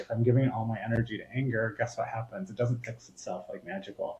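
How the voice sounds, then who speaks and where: A medium-pitched man speaks at a very fast pace. His voice is somewhat breathy. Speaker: spiritual coach. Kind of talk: casual chat. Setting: podcast interview. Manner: animated.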